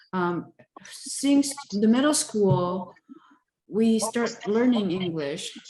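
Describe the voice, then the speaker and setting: Speaking at a very slow pace in a Taiwanese accent, a woman uses a fairly high pitch and lively intonation. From southern Taiwan. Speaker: interviewee, engineer. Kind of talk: oral history interview. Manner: hesitant, many fillers.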